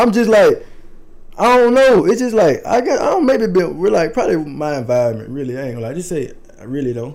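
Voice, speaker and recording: A man with an American accent, high-pitched and very fast, with very wide pitch swings, audible room echo and noticeable background noise. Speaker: clothing designer. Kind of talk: casual chat.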